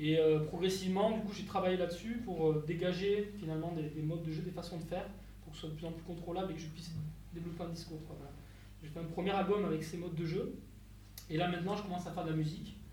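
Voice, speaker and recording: Very fast and monotone, a man talks in a high voice with flat intonation. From Landes, southwest France. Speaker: hurdy-gurdy musician. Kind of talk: talk at a live concert. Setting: stage with audience. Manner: halting.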